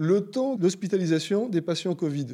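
A man's high-pitched voice with a dark, mellow tone and lively intonation, on a very clean recording with a silent background. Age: 40s. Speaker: citizen sharing views on the COVID crisis. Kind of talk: interview conversation.

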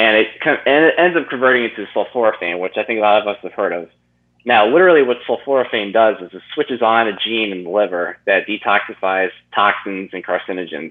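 A man with an ordinary speaking voice, fairly low in pitch, with lively intonation and a fairly quick pace. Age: 20s. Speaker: nutrition coach. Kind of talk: interview.

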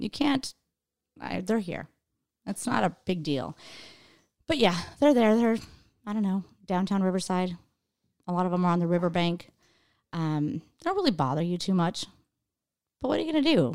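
A woman with an American accent speaks with lively intonation at a moderate pace, leaving long, frequent pauses in a very clean recording with a silent background. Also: medium pitch for a woman. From Idaho. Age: 40s. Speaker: stand-up comedian. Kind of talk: casual chat.

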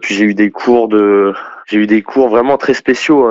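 A man's voice, fairly low in pitch. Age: 20s. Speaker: former far-left activist. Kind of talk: testimony. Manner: halting.

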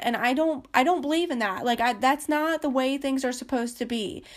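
Animated and high-pitched, a woman speaks with ordinary pitch variation on a very clean recording with a silent background. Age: 20s. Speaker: podcast host, healthcare worker. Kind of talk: casual monologue. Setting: at home.

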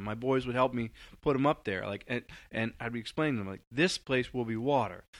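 A man with an American accent and an unremarkable speaking voice, medium in pitch, at a fairly quick pace, on a very clean recording with a silent background. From US Northeast, Long Island, New York. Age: 40s. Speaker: community organizer, former journalist. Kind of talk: interview conversation.

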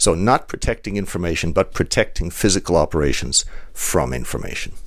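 A man with vocal fry speaks at a fairly quick pace with lively intonation. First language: German. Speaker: industrial security expert. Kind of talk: interview.

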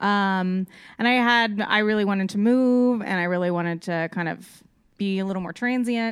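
With an American accent, a woman speaks at a moderate pace in an unremarkable speaking voice, medium in pitch with fairly even intonation, on a very clean recording with a silent background. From Texas, Austin. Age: 30s. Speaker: podcast guest. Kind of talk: casual chat.

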